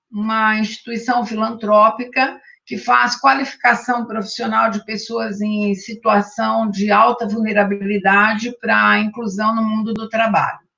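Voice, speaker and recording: This woman's voice sits fairly high, with a bright, sharp tone. She speaks at a fairly slow pace with hardly any pauses. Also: fairly even intonation. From Brazil, interior of São Paulo state. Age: 60s. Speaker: retired judge and spiritist association president. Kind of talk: interview. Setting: live-streamed online interview.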